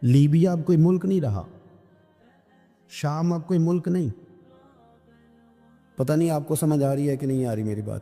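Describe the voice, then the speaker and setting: Music plays in the background. A man talks with a fairly high pitch and ordinary pitch variation. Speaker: Islamic preacher. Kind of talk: religious sermon (bayan) to an audience.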